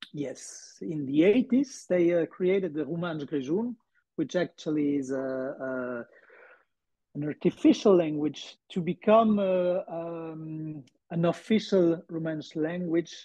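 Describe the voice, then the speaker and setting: Over a quiet background, a man with a high pitch and a dark, mellow tone speaks at a very slow pace with ordinary pitch variation. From Switzerland, Surselva (Grisons). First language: Romansh. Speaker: actor and language coach. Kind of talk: interview. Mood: relaxed, animated. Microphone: earbuds.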